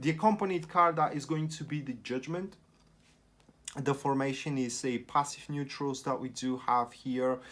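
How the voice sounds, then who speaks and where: Speaking with a non-native accent, a man uses a fairly high pitch with ordinary variation at a moderate pace. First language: not English. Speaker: tarot reader. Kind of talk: tarot reading monologue. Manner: halting.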